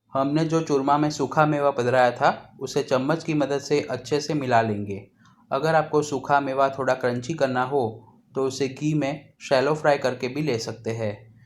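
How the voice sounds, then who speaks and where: In a Gujarati accent, the speaker has a calm tone and fairly even intonation on a very clean recording with a silent background. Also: man, fairly high pitch for a man. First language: Gujarati (speaking Hindi). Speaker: cooking channel host. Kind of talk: cooking tutorial. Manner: calm, instructional.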